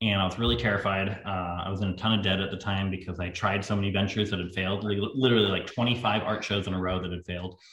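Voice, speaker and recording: A man with a fairly low pitch talks at a very fast pace, his intonation fairly even and hardly any pauses, over noticeable background noise. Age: 20s. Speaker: landscape photographer. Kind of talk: casual chat.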